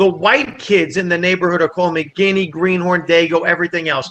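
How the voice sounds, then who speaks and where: A man with a New Jersey accent speaks in a raised, projected voice. His tone is bright and sharp, and his pitch is high. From New Jersey, Italian immigrant family. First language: Italian. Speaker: comedian. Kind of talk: casual chat. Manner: animated.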